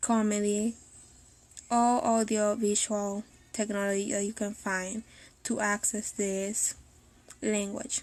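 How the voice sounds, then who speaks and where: At a very slow pace with long, frequent pauses, a woman speaks in a Spanish accent at medium pitch with monotone, flat intonation. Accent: non-native Spanish accent in English. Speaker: language teacher and translator. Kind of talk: live video talk. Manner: hesitant, with fillers.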